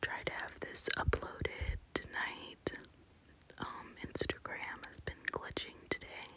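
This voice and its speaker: A woman whispering at a very slow pace, with big swings in loudness. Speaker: ASMR planner content creator. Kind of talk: casual talk to camera, plan-with-me ASMR. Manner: whispered, soft-spoken.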